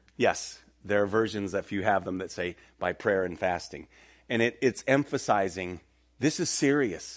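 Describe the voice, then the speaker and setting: Against a quiet background, a man has a plain, everyday voice. His intonation is lively and his pace moderate. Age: 50s. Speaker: pastor. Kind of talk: sermon. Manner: casual, conversational.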